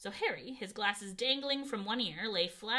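An unforced reading voice moves through ordinary shifts in pitch.

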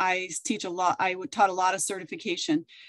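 A woman is speaking. The background is quiet. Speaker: former teacher, certification trainer. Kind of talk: webinar panel discussion. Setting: video call. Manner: animated. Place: home room. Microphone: video call.

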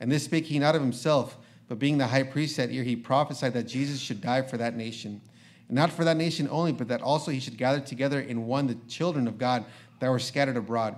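At a very fast pace, a man speaks with a medium pitch and fairly even intonation. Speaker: preacher. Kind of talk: reading aloud. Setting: church. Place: church.

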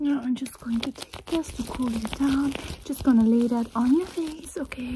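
A woman's soft-spoken whisper at a moderate pace, against noticeable background noise. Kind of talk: soft ASMR roleplay talk. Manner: soft close ASMR whisper. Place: home room. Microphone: phone near.

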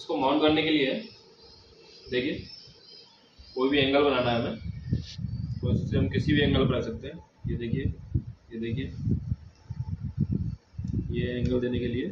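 Over loud background noise, a man speaks at a fairly slow pace with long, frequent pauses. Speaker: vlogger. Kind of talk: unboxing tutorial. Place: home room. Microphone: camera far.

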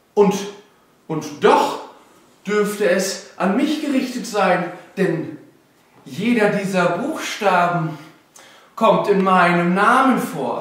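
A man uses a put-on character voice, pitched high, with a fairly bright tone and lively intonation. He speaks at a slow pace amid strong room echo.

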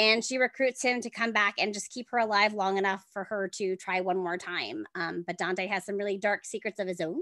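A woman talks at a fairly quick pace over a quiet background. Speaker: author. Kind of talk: podcast interview answer. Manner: fast. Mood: upbeat, enthusiastic. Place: home room. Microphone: earbuds.

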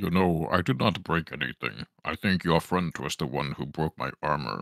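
A man uses a put-on character voice at a moderate pace. His pitch is very deep and low. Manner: smug, self-assured, formal.

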